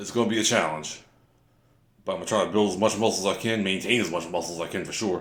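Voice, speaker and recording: A man talks at a very fast pace with a fairly low pitch and fairly even intonation. The room echo is audible. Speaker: fitness vlogger. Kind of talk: workout voiceover narration. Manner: casual, halting with fillers.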